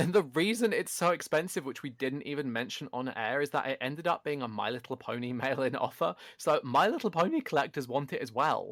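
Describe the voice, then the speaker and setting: On a very clean recording against a silent background, the words come at a fairly quick clip. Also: man, hardly any pauses. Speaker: podcast co-host. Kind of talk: casual chat. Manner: loud. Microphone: better microphone, picks up loud.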